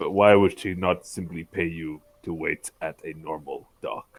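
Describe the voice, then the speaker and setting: Putting on a character voice, a man speaks at a very deep, low pitch and a moderate pace. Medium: actual play. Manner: formal, deadpan.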